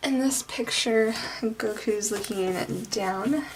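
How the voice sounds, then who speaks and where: A soft-spoken woman talks at a very slow pace over noticeable background noise. Her fairly high pitch shows ordinary variation. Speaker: art youtuber. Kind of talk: drawing tutorial. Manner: casual, rambling with fillers.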